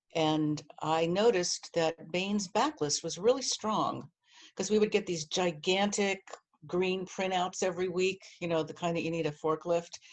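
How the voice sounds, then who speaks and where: With an American accent, a woman talks at a moderate pace in an ordinary speaking voice, fairly low in pitch with ordinary pitch variation. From New Jersey. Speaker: publishing marketing director. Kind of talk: interview.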